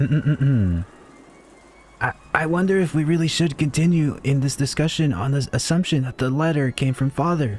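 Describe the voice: Over faint music, a man does a raspy, put-on character voice, fairly high-pitched, at a moderate pace and very even loudness.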